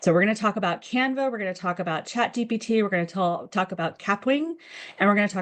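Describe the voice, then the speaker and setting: A woman with an American accent speaks with ordinary pitch variation over a quiet background. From United States. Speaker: communications director, webinar presenter. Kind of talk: webinar presentation. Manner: many filler words, hesitant restarts.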